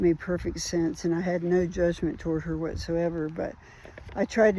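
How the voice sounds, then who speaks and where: At a moderate pace, a woman talks in a normal speaking voice with fairly low pitch. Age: 60s. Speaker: trauma survivor sharing recovery journey. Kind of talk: personal testimony vlog. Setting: outdoors on a walk. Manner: casual, reflective.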